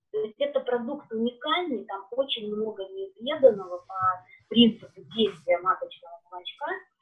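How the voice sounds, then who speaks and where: With big swings in loudness and lively intonation, a woman talks at a moderate pace. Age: 40s. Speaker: beekeeping products consultant. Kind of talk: live-stream interview.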